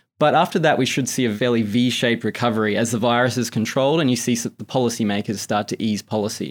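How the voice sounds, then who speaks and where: On a very clean recording with a silent background, a man talks at a very fast pace with a medium pitch and ordinary pitch variation. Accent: American. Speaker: markets salesperson at an investment bank. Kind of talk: interview about financial markets.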